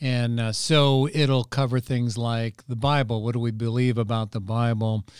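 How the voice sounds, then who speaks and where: With a normal speaking voice, a man of medium pitch talks at a moderate pace with fairly even intonation and hardly any pauses, on a very clean recording with a silent background. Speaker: pastor. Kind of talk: teaching explanation of church program.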